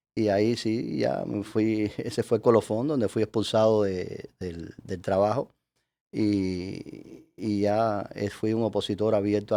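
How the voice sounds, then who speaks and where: A man with a Cuban accent speaks at a fairly slow pace and fairly low pitch, with a dark, mellow tone and fairly even intonation, in a very clean recording with a silent background. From Cuba, Havana. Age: 60s. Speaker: Freemason leader, lawyer. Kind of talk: interview. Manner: halting, many fillers.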